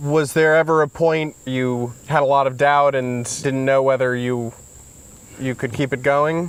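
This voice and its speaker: A man's fairly high, monotone voice with flat intonation at a fairly slow pace. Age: 30s. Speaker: farmer. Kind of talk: conversation.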